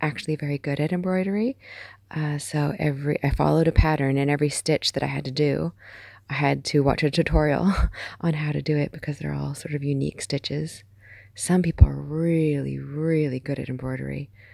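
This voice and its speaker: Soft-spoken and calm, a woman talks at a fairly quick pace with a dry sound and no echo. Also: quiet background. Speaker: amateur artist. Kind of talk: ASMR art collection tour. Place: home room. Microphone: phone near.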